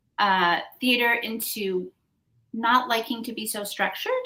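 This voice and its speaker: Speaking very slowly with an American accent, a woman uses a fairly high, bright, sharp voice with ordinary pitch variation. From New York City, Upper West Side. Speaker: singer-songwriter. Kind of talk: interview.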